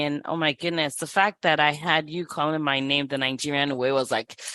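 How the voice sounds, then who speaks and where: A woman with a very deep, low pitch and a bright, sharp tone talks at a fairly quick pace with hardly any pauses, in a dry, close sound with no echo. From Nigeria. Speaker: physician and money coach. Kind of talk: podcast interview. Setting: video call.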